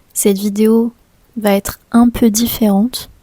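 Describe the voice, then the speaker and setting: With a dry, close sound and no echo, a woman speaks very slowly in a monotone, flat intonation, her fairly high, somewhat breathy voice dark and mellow in tone. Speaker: French teacher vlogger. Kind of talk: casual vlog talk to camera.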